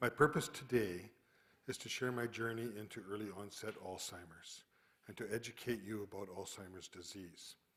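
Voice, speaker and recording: With a western Canadian accent, a man talks in a fairly low pitch. His intonation stays fairly even. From Calgary, western Canada. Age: 60s. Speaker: retired geoscientist with early onset Alzheimer's. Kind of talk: prepared talk.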